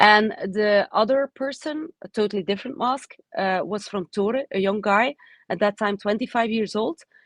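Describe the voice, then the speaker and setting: Recorded dry and close with no echo, a woman speaks fairly slowly in a fairly high voice with ordinary pitch variation. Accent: Dutch. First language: Dutch. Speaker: oncologist and professor. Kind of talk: webinar talk. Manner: halting, many fillers.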